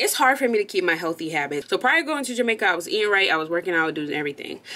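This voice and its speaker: A woman's voice at a very fast pace, with very wide pitch swings. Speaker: vlogger reading a sponsor segment. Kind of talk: casual vlog chat. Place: home room.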